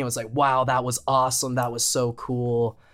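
A man speaks at a fairly quick pace in a plain, everyday voice. The recording is very clean, with a silent background. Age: 20s. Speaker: podcast co-host and college student. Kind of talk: casual chat. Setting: studio.

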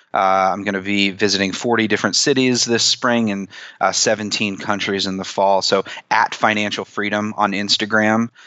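A man's fairly low voice in monotone, flat intonation at a moderate pace. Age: 30s. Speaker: personal finance author and blogger. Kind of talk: interview.

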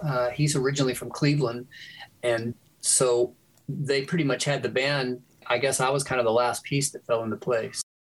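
His intonation is fairly even. The man's voice has a somewhat breathy quality. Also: medium pitch for a man, moderate pace. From Louisiana, Shreveport. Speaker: music producer. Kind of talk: casual chat.

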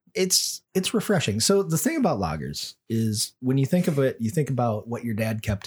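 A man with an American accent speaks at a fairly quick pace, his voice somewhat breathy. His pitch swings very widely, and the recording is very clean against a silent background. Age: middle-aged. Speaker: podcast host. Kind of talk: casual chat. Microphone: too close to the mic at times.

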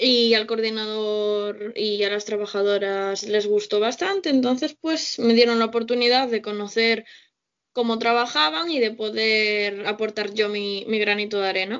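Her voice fairly high and her intonation fairly even, a woman speaks at a fairly slow pace. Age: 20s. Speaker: social integration worker. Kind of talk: casual chat.

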